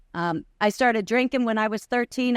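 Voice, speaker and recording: The recording is very clean, with a silent background and a dry, close sound with no echo. A woman speaks in a New York accent with fairly even intonation. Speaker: recovery convention speaker. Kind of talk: testimony. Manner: fast.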